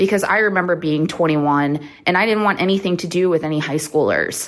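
In a plain, everyday voice, a woman talks at a fairly quick pace. Her pitch is fairly low and her intonation fairly even. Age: 30s. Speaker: caller. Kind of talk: recorded voicemail question.

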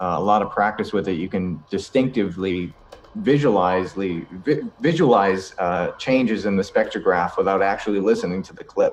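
Speaking in an American accent, a man has a plain, everyday voice. His pitch is fairly low and his pace moderate. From Boston, Massachusetts. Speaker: paranormal investigator and voice-over artist. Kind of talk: casual interview chat.

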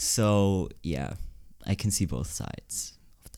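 Very slowly, a man speaks in a fairly low voice with a Swiss German accent. The recording is very clean, with a silent background. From Switzerland, Zurich area. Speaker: podcast co-host. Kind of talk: casual chat.

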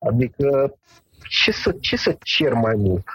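The man's voice is somewhat breathy. The sound is dry and close, with no echo. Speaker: medical doctor specializing in medical cannabis. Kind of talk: interview.

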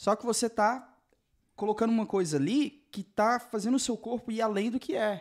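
The recording is very clean, with a silent background. A man speaks at a high pitch. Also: ordinary pitch variation, moderate pace. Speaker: podcast host. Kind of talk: casual interview chat.

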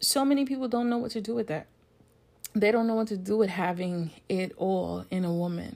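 A woman with a plain, everyday voice, medium pitch, ordinary pitch variation and a fairly quick pace. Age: 40s. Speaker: podcast host. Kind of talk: solo podcast monologue.

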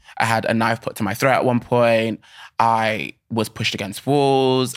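With a British accent, a man talks at medium pitch and a moderate pace. His intonation is monotone and flat. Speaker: actor and dancer. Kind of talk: casual interview. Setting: studio.

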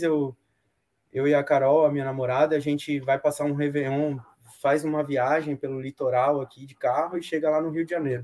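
Dark, mellow tone from a man whose voice sits fairly high in pitch. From Bahia, Brazil (Salvador). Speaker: sailor and boat builder. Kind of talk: casual chat. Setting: live video stream.

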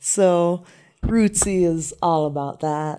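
A woman's fairly low, dark, mellow voice with an American accent, on a very clean recording with a silent background. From US, raised partly in Jamaica. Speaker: reggae artist. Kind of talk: casual chat.

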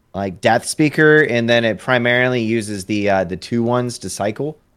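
On a very clean recording with a silent background, a man talks at a medium pitch with lively intonation. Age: 20s. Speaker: Hearthstone streamer. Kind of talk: casual chat. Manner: animated.

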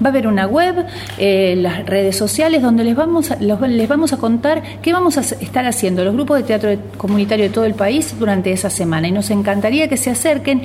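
A woman at a fairly quick pace, with very wide pitch swings, very even loudness and noticeable background noise. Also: fairly high pitch for a woman. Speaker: community theatre organizer. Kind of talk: radio interview.

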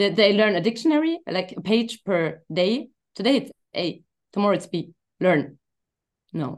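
With a German accent, a woman speaks in very wide pitch swings, leaving long, frequent pauses. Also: medium pitch for a woman, moderate pace. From Germany. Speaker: hypnosis coach. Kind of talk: casual interview. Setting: video call. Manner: halting.

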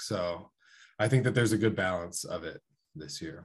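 A man with an American accent speaks at a fairly quick pace in a fairly low pitch with ordinary pitch variation. It is an unremarkable speaking voice, heard over a quiet background. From Columbus, Ohio. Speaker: college wrestler. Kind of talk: casual chat.

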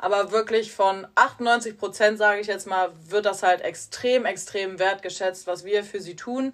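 A woman's ordinary speaking voice at a medium pitch, fairly slow with hardly any pauses and fairly even intonation, in a very clean recording with a silent background. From Rhineland, near Cologne. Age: 20s. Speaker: nursing trainee. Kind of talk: casual chat. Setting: hotel room.

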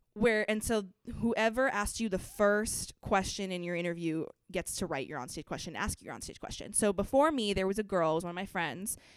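A woman's medium-pitched voice in an American accent, fairly quick in pace with lively intonation. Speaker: pageant title holder and college student. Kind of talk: casual chat. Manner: talks fast when nervous.

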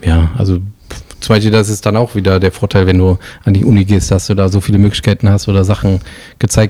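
The voice has a dark, mellow tone and fairly even intonation, moving at a fairly quick pace. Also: man. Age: 40s. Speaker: illustrator and designer. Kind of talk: casual interview.

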